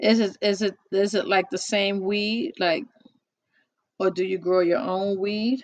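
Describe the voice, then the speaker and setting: A woman's medium-pitched voice, fairly slow, with ordinary pitch variation. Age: 50s. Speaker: podcast host. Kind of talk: casual chat. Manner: animated.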